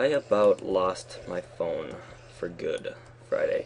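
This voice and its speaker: Mumbling at a very slow pace, a man talks against noticeable background noise. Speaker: Minecraft let's play YouTuber. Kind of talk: gaming commentary. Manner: halting, mumbling; casual chatty. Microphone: poor recording quality.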